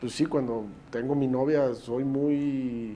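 A man's fairly high voice carries a dark, mellow tone. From Mexico, Puebla state. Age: 30s. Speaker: mayor. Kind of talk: interview. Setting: his office.

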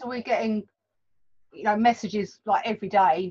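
Fairly high and fairly quick, this woman has a plain, everyday voice. She keeps a brisk pace throughout. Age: 40s. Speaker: bookshop owner and tutor. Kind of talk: casual interview.

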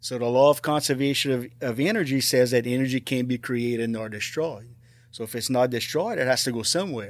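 With an American accent and medium pitch, a man speaks at a fairly quick pace. His intonation is fairly even, in a very clean recording with a silent background. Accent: south Louisiana Cajun-tinged English. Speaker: retired teacher and paranormal investigator. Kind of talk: casual interview.

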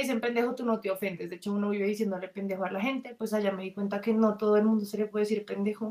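A woman in a Colombian accent talks at a very fast pace with a fairly high pitch. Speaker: exchange student. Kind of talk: casual chat.

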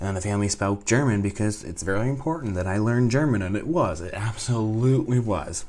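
A man talks very fast with lively intonation and hardly any pauses. His pitch is fairly low, and there is noticeable background noise. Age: 20s. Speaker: vlogger studying abroad. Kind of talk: casual monologue vlog. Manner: animated.

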